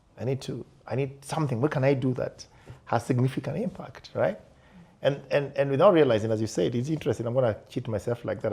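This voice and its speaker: Somewhat breathy and dark, mellow in tone, a man at medium pitch speaks at a very fast pace with ordinary pitch variation. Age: 50s. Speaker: podcast host. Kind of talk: panel discussion.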